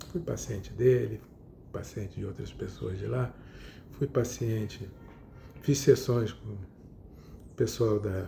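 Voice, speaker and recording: With long, frequent pauses at a very slow pace, a man talks in a fairly low, dark, mellow voice with vocal fry and ordinary pitch variation, while room echo can be heard. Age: 70s. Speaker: psychotherapist. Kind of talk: lecture. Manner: halting.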